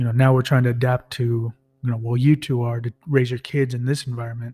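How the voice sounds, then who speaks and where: Soft-spoken and somewhat breathy, a man of medium pitch talks at a fairly quick pace. His tone is dark and mellow, with monotone, flat intonation. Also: dry, close sound with no echo. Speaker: podcast co-host. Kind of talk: casual chat.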